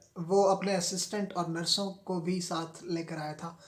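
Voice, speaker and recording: Over noticeable background noise, a man talks in a high, monotone, flat voice. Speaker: novel reader. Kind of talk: audiobook reading of a novel.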